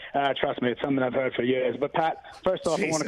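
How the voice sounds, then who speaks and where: Over noticeable background noise, a man with an American accent talks at a very fast pace and fairly high pitch, his intonation fairly even and his loudness very even. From Massachusetts. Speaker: caller to a sports talk show. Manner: casual, joking.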